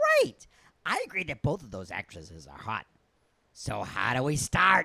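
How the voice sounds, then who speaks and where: A man puts on a character voice at a fairly high pitch, keeping a moderate pace with big swings in loudness. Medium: comedy sketch.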